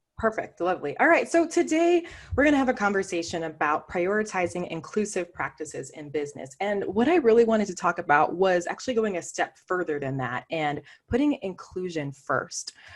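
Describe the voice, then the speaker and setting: A woman talks at a fairly quick pace with a medium pitch. Her pitch swings very widely. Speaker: diversity and inclusion consultant, CEO. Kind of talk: virtual presentation talk. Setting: video call. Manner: fast; conversational.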